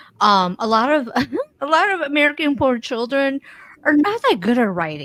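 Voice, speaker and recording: Speaking with a non-native accent, a woman keeps a moderate pace. Her high pitch moves in very wide swings. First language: not English. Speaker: podcast co-host. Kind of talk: casual conversation.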